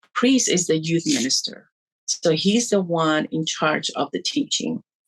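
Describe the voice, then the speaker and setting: A woman in a Spanish accent talks at a fairly slow pace with a fairly low pitch, in a dry, close sound with no echo. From Puerto Rico. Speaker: church youth ministry coordinator. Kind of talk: interview testimony. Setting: video call. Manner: halting, many fillers.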